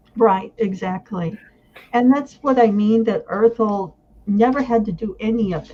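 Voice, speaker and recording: A woman talks at a fairly slow pace with a fairly high pitch and a dark, mellow tone. Her voice is somewhat breathy, with big swings in loudness. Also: ordinary pitch variation. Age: 60s. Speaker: fantasy reader. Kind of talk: casual chat.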